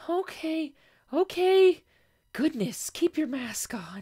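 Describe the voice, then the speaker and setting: A squeaky, high-pitched put-on character voice at a very slow pace, very clean recording, silent background. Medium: read story. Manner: nervous, hesitant.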